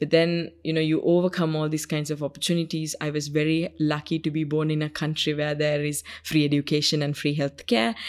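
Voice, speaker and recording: A woman with a Sri Lankan accent talks at a fairly quick pace in a very deep, low voice with monotone, flat intonation. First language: Sinhalese. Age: 20s. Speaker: UN youth envoy. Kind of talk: interview. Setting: studio.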